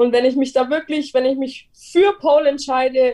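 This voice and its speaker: Her high pitch carries a dark, mellow tone as the woman speaks with fairly even intonation. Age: 20s. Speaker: pole dance and yoga enthusiast. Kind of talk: casual chat.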